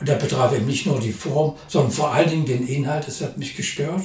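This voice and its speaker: A man speaks with audible room echo. Noticeable background noise runs behind him. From Saxony, Germany (Leipzig). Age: 70s. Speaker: poet and retired aesthetics professor. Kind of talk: interview. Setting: studio.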